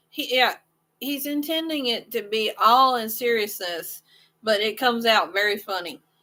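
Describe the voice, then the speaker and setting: A woman talks with a Southern US accent and lively intonation. Her voice is fairly high, with a bright, sharp tone. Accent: southern drawl. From US Midwest, southwest Missouri. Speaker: crochet channel host. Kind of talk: casual chat.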